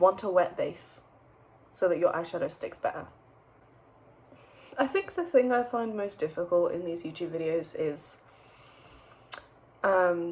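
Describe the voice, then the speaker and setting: Over noticeable background noise, a woman with a medium pitch talks fairly slowly, using ordinary pitch variation, big swings in loudness and long, frequent pauses. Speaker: beauty YouTuber. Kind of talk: makeup tutorial. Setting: home, bedroom by window. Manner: hesitant, many ums and restarts; casual chatty.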